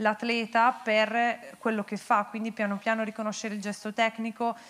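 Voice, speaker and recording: Her pitch is fairly high and her intonation monotone and flat. The woman keeps a moderate pace. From Bergamo, northern Italy; northern Italy. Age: 30s. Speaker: paralympic athlete; guest. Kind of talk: on-stage interview. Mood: warm, grateful. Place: stage. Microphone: handheld.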